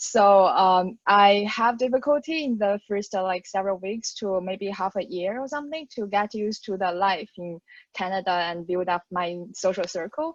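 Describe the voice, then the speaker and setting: A woman with a Mandarin accent talks at a medium pitch with ordinary pitch variation. Her pace is moderate, and the sound is dry and close with no echo. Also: hardly any pauses. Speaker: graduate student. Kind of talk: panel discussion.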